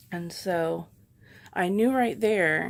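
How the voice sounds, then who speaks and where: Soft-spoken and fairly low in pitch, this woman comes through on a very clean recording with a silent background. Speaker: patient vlogger. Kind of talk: casual vlog update.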